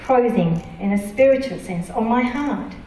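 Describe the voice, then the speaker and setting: A woman's fairly high voice with ordinary pitch variation at a fairly slow pace, amid light background noise and audible room echo. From Japan. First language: Japanese. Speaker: preacher. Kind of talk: sermon. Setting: church. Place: church.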